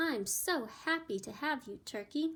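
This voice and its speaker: Putting on a character voice, a woman speaks at a moderate pace in a high pitch with a warm tone and very wide pitch swings. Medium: read story. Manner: warm, gracious.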